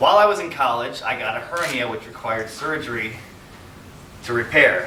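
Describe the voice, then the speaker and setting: There's noticeable background noise as a man talks with ordinary pitch variation. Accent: American. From Wisconsin, USA. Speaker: political candidate. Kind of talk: campaign speech.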